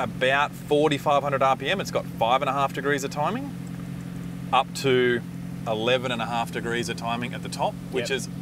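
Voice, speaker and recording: A man speaks at a moderate pace, the sound dry with no echo, as noticeable background noise persists. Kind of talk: technical explanation. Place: workshop.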